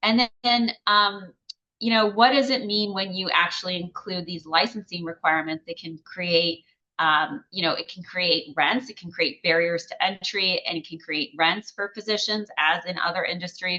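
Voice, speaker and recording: A woman with an ordinary speaking voice talks at a moderate pace and medium pitch. Her pitch varies in an ordinary way, while her loudness swings widely. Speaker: economist, grand rounds speaker. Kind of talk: lecture.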